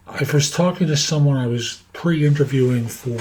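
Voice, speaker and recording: Speaking with lively intonation at a moderate pace, a man is heard over noticeable background noise. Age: 70s. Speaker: career coach and podcaster. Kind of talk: casual monologue to camera. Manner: halting, with fillers.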